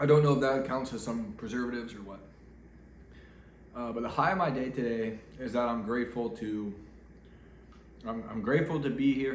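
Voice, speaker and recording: Amid noticeable background noise and audible room echo, a man talks fairly quickly at medium pitch with fairly even intonation. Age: 30s. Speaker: vlogger. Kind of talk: casual vlog monologue. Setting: at home getting ready for bed. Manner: off the cuff, hesitant with fillers.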